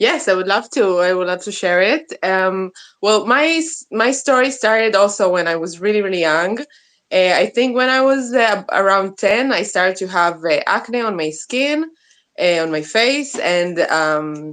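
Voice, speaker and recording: A woman speaks with an Israeli accent in a medium pitch and lively intonation. Her pace is fairly slow, over a quiet background. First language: Hebrew. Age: 30s. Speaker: interview guest, soap maker. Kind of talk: interview. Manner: halting, many fillers.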